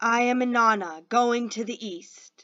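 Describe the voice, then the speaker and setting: A woman uses a put-on character voice pitched fairly high. She delivers it at a fairly slow pace. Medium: read story. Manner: aggressive, commanding.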